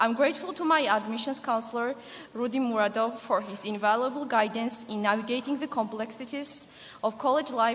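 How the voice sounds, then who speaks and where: Amid noticeable background noise and audible room echo, a woman talks at a fairly quick pace and fairly high pitch with ordinary pitch variation. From Georgia (the country). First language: not English. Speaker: graduating student speaker. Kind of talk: commencement speech. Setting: stage with audience. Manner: formal.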